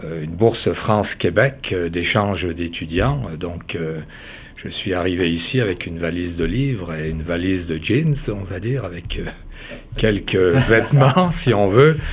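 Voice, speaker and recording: Amid audible room echo, a man with a very deep, low pitch speaks at a fairly slow pace with lively intonation. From Italy, Veneto. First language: Italian (speaking French). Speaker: real estate developer. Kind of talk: interview. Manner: halting, many hesitations.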